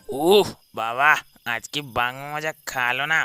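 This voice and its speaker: A man's cartoonish character voice at a fairly high pitch, on a very clean recording with a silent background. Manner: fearful, whining.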